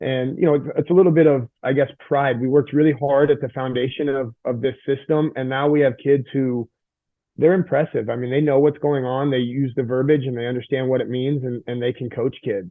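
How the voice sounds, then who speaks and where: A man talks at a fairly quick pace in a medium pitch. His intonation is fairly even. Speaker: high school strength coach. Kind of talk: podcast interview. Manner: fast; intense.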